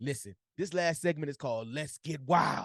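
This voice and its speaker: An ordinary speaking voice at a fairly quick pace, with lively intonation and a dry, close sound with no echo. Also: man. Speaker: sports podcast host. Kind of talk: casual sports podcast chat.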